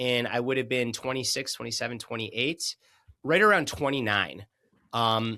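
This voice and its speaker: A man talks at a moderate pace with a medium pitch. His tone is bright and sharp, with ordinary pitch variation. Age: 30s. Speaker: author and performance coach. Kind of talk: interview conversation. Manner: halting, repeats words.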